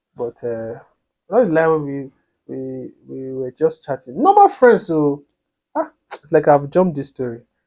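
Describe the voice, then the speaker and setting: A man at a moderate pace. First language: not English. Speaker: couples vlogger. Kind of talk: casual storytelling to camera. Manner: halting, with many repetitions.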